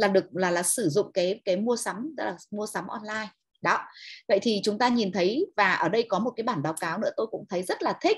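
The sound is dry with no echo against a quiet background. A woman with a medium pitch and a somewhat breathy voice talks at a fairly quick pace with ordinary pitch variation. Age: 50s. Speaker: online seminar presenter. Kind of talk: lecture. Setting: online webinar. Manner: animated, enthusiastic. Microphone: video call.

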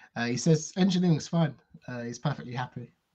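Against a quiet background, a man speaks in a dark, mellow, somewhat breathy tone with ordinary pitch variation. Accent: British. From United Kingdom. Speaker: tabletop role-playing game player, co-host; co-host. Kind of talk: live-streamed tabletop role-playing session, casual banter. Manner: enthusiastic. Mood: playful, amused. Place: home room. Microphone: video call.

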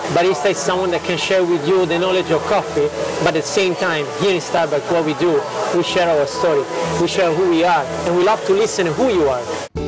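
A man talking at a fairly quick pace, with clear music in the background. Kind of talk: interview answer. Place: cafe.

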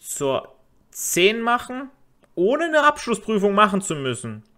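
Recorded very cleanly against a silent background, a man speaks at a moderate pace with a bright, sharp tone. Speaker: vocational teacher and podcast host. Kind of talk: educational podcast monologue. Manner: casual, filler-heavy.

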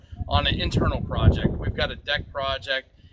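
A man talks at a fairly quick pace with noticeable background noise around him. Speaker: homeowner DIY vlogger. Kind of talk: casual vlog chat. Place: garden. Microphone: phone near.

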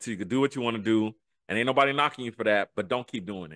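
Speaking very fast with an American accent, a man has an animated, bright, sharp tone and lively intonation against a quiet background. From US urban neighborhoods. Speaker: podcast co-host. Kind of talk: interview answer. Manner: animated, hyped. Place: home room. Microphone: studio mic.

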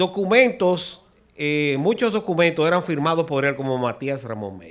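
This man's fairly high voice swings very widely in pitch and greatly in loudness at a moderate pace. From Dominican Republic. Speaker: architect and amateur historian; guest. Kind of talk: TV interview. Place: studio. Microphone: handheld.

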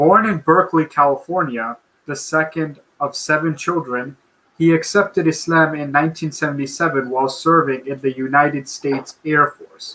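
This voice has a bright, sharp tone and fairly even intonation, moving at a moderate pace. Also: man, fairly high pitch for a man. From Bangladesh. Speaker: webinar co-moderator. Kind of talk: formal introduction. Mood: formal, respectful. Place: home room.

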